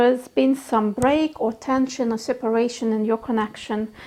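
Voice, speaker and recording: A woman with a non-native accent talks at a high pitch against noticeable background noise. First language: not English. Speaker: tarot reader. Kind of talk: tarot reading. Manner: halting.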